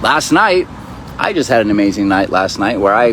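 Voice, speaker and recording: A man's fairly low-pitched voice comes through with noticeable background noise. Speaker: spiritual teacher. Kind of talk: casual vlog monologue. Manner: fast; animated.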